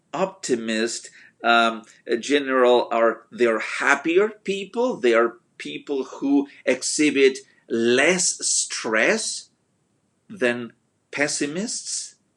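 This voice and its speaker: At a very slow pace, a man with a non-native accent speaks in a fairly high pitch with lively intonation. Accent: noticeable foreign. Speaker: motivational speaker. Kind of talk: motivational talk. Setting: Facebook live video. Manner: hesitant with fillers.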